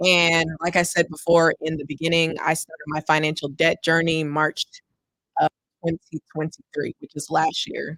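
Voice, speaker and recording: In an American accent, a woman with fairly low pitch speaks at a moderate pace. Her intonation is monotone and flat, and the sound is dry and close with no echo. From Texas, Houston. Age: 20s. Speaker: personal finance content creator. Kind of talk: livestream presentation. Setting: livestream on camera. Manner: casual, with frequent fillers.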